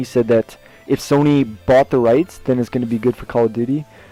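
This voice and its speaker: Music plays in the background as a man of medium pitch speaks, the sound dry and close with no echo. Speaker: gaming vlogger. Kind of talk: casual talk to camera. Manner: stutters, many filler words.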